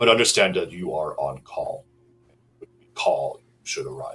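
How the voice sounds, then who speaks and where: A man puts on a character voice and keeps a moderate tempo. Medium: actual play. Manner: formal, businesslike.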